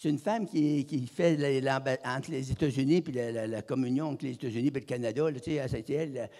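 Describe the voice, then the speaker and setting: A man with a Quebec accent, fairly high in pitch, at a very fast pace with ordinary pitch variation. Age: 80s+. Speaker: evangelist. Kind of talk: sermon. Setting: church. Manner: halting.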